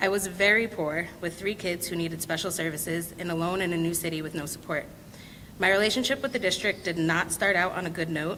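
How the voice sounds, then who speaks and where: A normal speaking voice at a fairly quick pace, with ordinary pitch variation. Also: woman, fairly low pitch for a woman. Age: 30s. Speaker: school board candidate, parent. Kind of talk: candidate speech.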